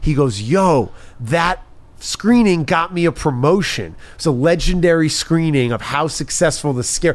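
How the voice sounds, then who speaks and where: A man with an American accent talks in an animated tone with lively intonation and a fairly high pitch. His pace is moderate, and there is noticeable background noise. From New York. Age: 30s. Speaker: TV and sports host. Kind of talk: casual chat.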